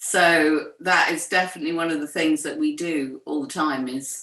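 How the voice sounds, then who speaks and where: A woman speaks in a normal speaking voice at a fairly low pitch. Her pace is fairly slow, with ordinary pitch variation. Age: 60s. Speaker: writer and poet, co-founder of an ageing community. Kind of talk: interview conversation.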